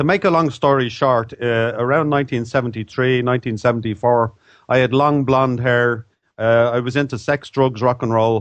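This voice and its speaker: A man in an Irish accent at a moderate pace. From Ireland. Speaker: author. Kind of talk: interview.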